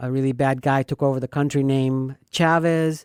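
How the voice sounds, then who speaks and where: A woman's very deep, low voice in monotone, flat intonation with a slight Venezuelan accent, dry and close with no echo. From Venezuela, Caracas. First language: Spanish. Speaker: radio host and realtor. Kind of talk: casual chat.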